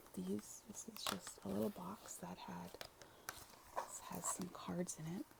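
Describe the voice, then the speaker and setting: A soft-spoken woman whispering at a very slow pace, with long, frequent pauses and noticeable background noise. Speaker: ASMR creator. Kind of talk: ASMR whispered chit chat to camera. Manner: whispered, soft-spoken.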